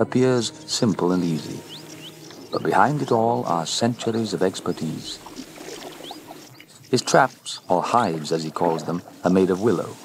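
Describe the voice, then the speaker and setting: Over noticeable background noise, a man talks at a moderate pace with a fairly low pitch and lively intonation. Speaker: documentary narrator. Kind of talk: TV documentary narration.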